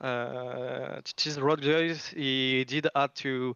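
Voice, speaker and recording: In a French accent, a man speaks at a medium pitch with monotone, flat intonation. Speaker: esports team coach or captain interviewed. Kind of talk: post-match interview.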